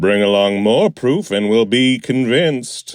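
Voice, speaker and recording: In a put-on character voice, a man speaks at medium pitch with ordinary pitch variation and a fairly slow pace. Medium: audio drama. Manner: formal, dryly humorous.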